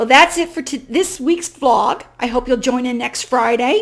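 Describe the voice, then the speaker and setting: A loud woman at a fairly slow pace, high-pitched. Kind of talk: inspirational vlog talk.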